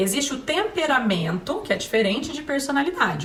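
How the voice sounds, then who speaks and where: A woman with a Paraná accent speaks at a moderate pace with very wide pitch swings. Noticeable background noise and audible room echo are heard. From Paraná, Brazil (Maringá). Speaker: parenting speaker, psychology. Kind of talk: talk to parents.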